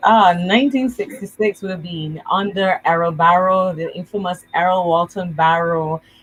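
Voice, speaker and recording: A somewhat breathy woman's voice at a fairly slow pace, hardly any pauses, and big swings in loudness. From Barbados. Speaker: evangelist. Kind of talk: casual chat.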